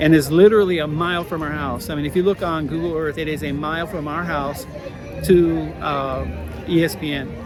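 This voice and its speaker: At a fairly quick pace, a man speaks with a fairly high pitch and fairly even intonation. Music plays in the background, and audible room echo can be heard. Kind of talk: casual vlog update. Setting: outdoors at a theme park. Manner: fast; hesitant, many fillers.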